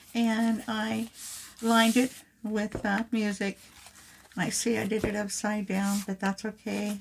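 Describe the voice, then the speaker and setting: A quiet woman at a fairly slow pace. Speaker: crafting youtuber. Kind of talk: craft tutorial. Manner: hesitant with fillers.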